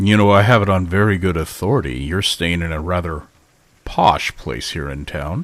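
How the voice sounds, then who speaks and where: A man does a put-on character voice, very deep and low-pitched with a rumbling quality, speaking at a moderate pace with ordinary pitch variation. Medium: actual play. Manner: measured, formal.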